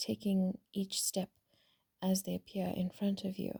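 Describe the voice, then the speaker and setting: The speaker talks in a calm tone at a fairly slow pace. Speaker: spiritual vlogger. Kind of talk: casual reflective monologue.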